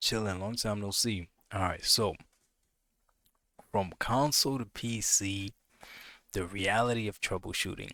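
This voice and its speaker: Quiet and fairly low-pitched, a man speaks with a bright, sharp tone and fairly even intonation in a dry, close sound with no echo. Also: very clean recording, silent background. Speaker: gaming streamer. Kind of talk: live stream chat. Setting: home at night, live stream. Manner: quiet, low voice; casual, with fillers and repetitions.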